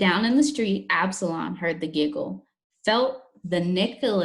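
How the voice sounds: Lively intonation runs through a natural reading voice set against a quiet background.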